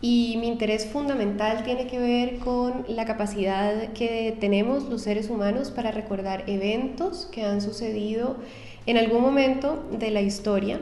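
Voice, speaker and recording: A woman speaks fairly slowly at a fairly high pitch with ordinary variation. Audible room echo and noticeable background noise surround her. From Colombia, Cali. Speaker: psychologist and doctoral researcher. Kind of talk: interview. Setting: university building.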